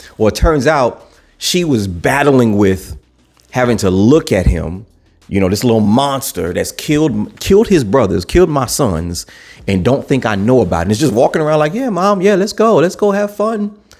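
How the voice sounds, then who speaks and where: The speaker has an animated, excited tone with very wide pitch swings at a moderate pace. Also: man, medium pitch for a man. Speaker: TV show reviewer. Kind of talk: casual spoiler review. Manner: stuttering, repetitive.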